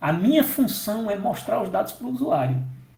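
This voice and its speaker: A dark, mellow tone with very wide pitch swings and audible room echo. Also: man. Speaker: software development instructor. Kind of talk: technical training session.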